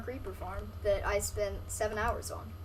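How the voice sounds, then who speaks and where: Noticeable background noise and audible room echo around a woman's speech. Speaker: gaming streamer. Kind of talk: live gameplay stream commentary. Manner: fast; casual, filler-heavy.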